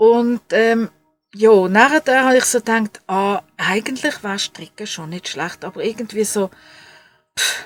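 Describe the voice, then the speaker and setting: Over music in the background, a woman speaks at a fairly slow pace with a fairly high pitch and big swings in loudness, the sound dry and close with no echo. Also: ordinary pitch variation. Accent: Swiss. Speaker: crafts podcaster. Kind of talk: casual podcast talk.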